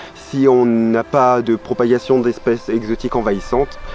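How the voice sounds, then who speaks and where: A man speaks at a moderate pace in a medium pitch with fairly even intonation, music playing in the background. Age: 20s. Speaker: ecology intern. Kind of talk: interview. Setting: outdoors at a nature site. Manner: halting, many filler sounds.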